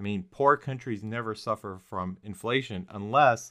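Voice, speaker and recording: Recorded very cleanly against a silent background, a man has a plain, everyday voice with a fairly low pitch and ordinary pitch variation. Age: 40s. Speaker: podcast host. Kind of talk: casual political discussion.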